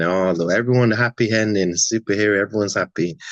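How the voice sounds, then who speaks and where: A man with a British accent, fairly low in pitch, at a fairly quick pace with ordinary pitch variation. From London, from about age ten; born in Atlanta. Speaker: actor. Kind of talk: interview. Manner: casual, relaxed.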